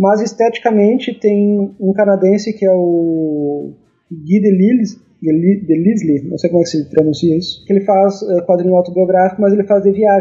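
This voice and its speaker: Music plays in the background as a man speaks at a moderate pace. His pitch is high, with fairly even intonation. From Brazil, Rio Grande do Sul interior (Rosário do Sul). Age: 40s. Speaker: cartoonist. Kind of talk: interview conversation. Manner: halting, repeats words.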